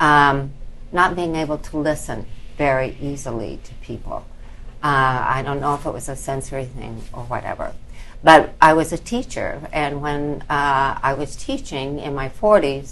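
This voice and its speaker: In a room with audible echo, a woman with a very deep, low pitch speaks at a moderate pace, her intonation fairly even and her loudness swinging widely. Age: 70s. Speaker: retired teacher with cochlear implants. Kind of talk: panel discussion. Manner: hesitant, many fillers.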